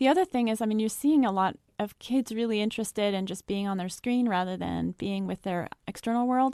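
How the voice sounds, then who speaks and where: A woman talks at a fairly quick pace with hardly any pauses, her pitch fairly high and her tone dark and mellow. The sound is dry and close, with no echo. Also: ordinary pitch variation. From France (Paris). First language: raised trilingual English, French, German. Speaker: psychology researcher and author. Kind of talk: podcast interview.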